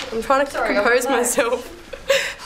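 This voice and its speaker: A woman talks with a high voice while noticeable background noise is present. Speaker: reality show participant. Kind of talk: reality TV interview.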